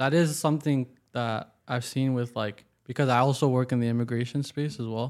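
Against a very clean recording with a silent background, a man with a Canadian accent and an unremarkable speaking voice talks at a moderate pace and medium pitch, with fairly even intonation. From Waterloo, Ontario, Canada. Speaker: podcast host. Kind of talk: interview conversation.

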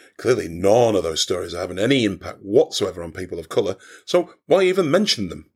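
A man talks at a very fast pace, with big swings in loudness. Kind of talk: comic character sketch, satirical argument with the host. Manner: sarcastic, irritable, fed up, combative.

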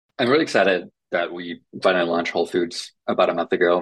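Using a very deep, low voice, a man talks at a fairly quick pace with fairly even intonation. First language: Finnish. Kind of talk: interview.

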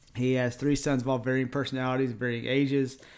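A man speaks with an East Texas accent. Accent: deep East Texas. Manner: casual, friendly.

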